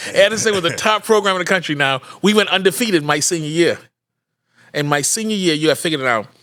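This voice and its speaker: A man talks at a very fast pace in a high voice, his tone bright, sharp and animated with lively intonation. The recording is very clean, with a silent background. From Bahamas. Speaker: podcast host, father of former football player. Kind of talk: casual chat.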